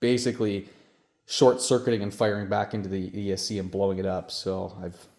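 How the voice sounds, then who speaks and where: With a Canadian accent, a man speaks in a fairly low pitch and a dark, mellow tone, his intonation monotone and flat. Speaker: RC hobbyist content creator. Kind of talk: casual product talk.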